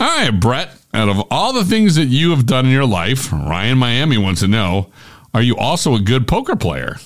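A man's medium-pitched voice with vocal fry, very wide pitch swings, very even loudness and a moderate pace. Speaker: podcast producer and announcer. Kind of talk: scripted narration.

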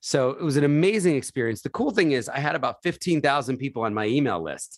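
A man talks at a fairly quick pace with an American accent and an unremarkable speaking voice. His pitch varies in an ordinary way over a quiet background. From US Northeast, Philadelphia. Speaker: charity founder. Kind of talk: interview.

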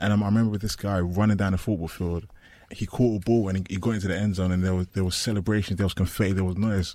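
A man's dark, mellow, fairly low voice in a London accent, monotone and flat, at a very fast pace, on a very clean recording with a silent background. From East London. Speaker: former American football player. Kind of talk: personal story interview.

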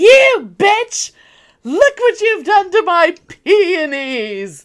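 In a put-on character voice, the speaker delivers lines at an extremely high pitch and a very slow pace. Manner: outraged, indignant.

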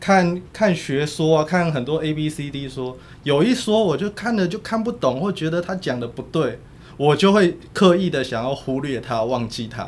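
This is an unremarkable speaking voice. A man talks at a moderate pace with a fairly high pitch and lively intonation. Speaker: political journalist. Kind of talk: casual chat.

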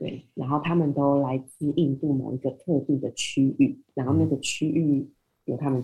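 A woman speaks in a very deep, low voice with a dark, mellow tone, somewhat breathy and in a monotone, flat intonation. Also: moderate pace. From Taiwan. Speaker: IT business development manager. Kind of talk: interview.

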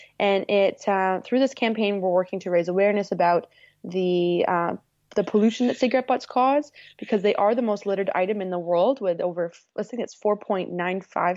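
Speaking with a Canadian accent, a woman keeps a medium pitch with ordinary pitch variation. Her pace is fairly quick. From Northern Ontario, Canada. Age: 20s. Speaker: environmental nonprofit manager. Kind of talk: interview. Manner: energetic.

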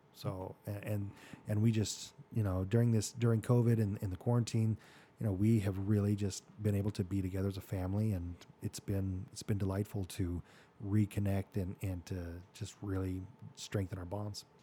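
A man with an American accent talks at a moderate pace and fairly low pitch. His tone is dark, mellow and somewhat breathy, with monotone, flat intonation. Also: very clean recording, silent background. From Arizona (Mesa). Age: 40s. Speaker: orthodontist and podcast host. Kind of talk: life-story interview. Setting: studio.

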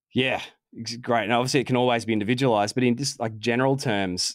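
A man with an Australian accent at medium pitch and a very fast pace, on a very clean recording with a silent background. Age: 40s. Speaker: sports physiotherapist. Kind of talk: interview.

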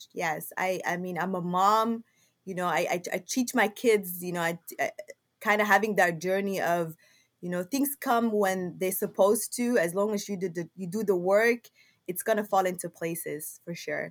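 A woman with a Somali accent at medium pitch, ordinary pitch variation and a moderate pace. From Somalia, Mogadishu. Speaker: logistics business owner. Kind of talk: interview. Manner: halting.

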